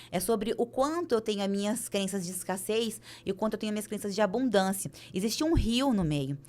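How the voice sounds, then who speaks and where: With lively intonation, a woman speaks fairly quickly at a fairly high pitch. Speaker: business coach and speaker. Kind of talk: podcast interview. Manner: fast.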